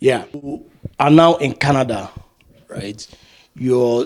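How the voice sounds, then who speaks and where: A man speaks at a fairly slow pace in a normal speaking voice. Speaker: interview host. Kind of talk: interview questions.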